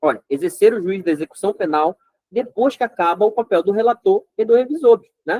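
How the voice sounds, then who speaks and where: A man speaks at high pitch with lively intonation. The sound is dry and close, with no echo. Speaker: law exam prep teacher. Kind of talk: lecture. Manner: fast; animated.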